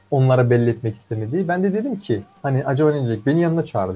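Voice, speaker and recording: A man with a medium-pitched voice talks at a very fast pace, his intonation lively. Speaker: co-host, computer engineering student. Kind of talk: casual chat.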